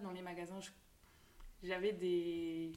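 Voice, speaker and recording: Keeping a medium pitch, a woman speaks at a moderate pace with monotone, flat intonation. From Belgium, Tournai. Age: 20s. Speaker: shop owner. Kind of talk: interview.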